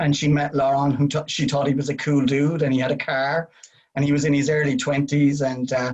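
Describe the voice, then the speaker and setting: A man at a fairly high pitch and fairly quick pace, monotone and flat, his loudness very even. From Ireland. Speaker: winery representative. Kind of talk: casual chat.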